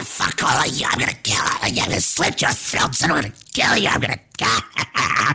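A raspy, put-on character voice from a man, delivered at a moderate pace. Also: medium pitch for a man. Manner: menacing, snarling.

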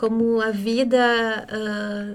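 With audible room echo, a woman talks in a monotone, flat intonation. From interior of Rio Grande do Sul, Brazil. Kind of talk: podcast interview.

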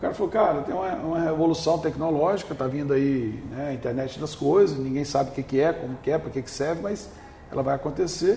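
A man at a very fast pace, fairly high in pitch with ordinary pitch variation, amid noticeable background noise. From Brazil, northern Espírito Santo. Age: 50s. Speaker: business owner. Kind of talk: interview.

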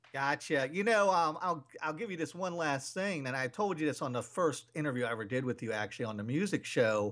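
A man with an ordinary speaking voice talks at a fairly quick pace, his pitch fairly high and his intonation lively. The recording is very clean, with a silent background. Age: 40s. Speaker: radio host. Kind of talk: casual interview chat.

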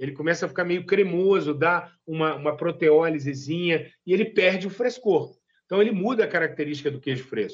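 A man talks at a fairly quick pace with hardly any pauses. His pitch is high for a man, with ordinary variation. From Minas Gerais, Zona da Mata (Brazil). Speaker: master cheesemaker. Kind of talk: interview.

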